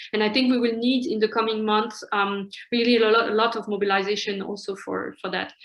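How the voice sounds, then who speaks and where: Over noticeable background noise, the speaker goes at a fairly quick pace with monotone, flat intonation. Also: woman, fairly high pitch for a woman. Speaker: human rights advocacy director. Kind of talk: presentation. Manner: fast.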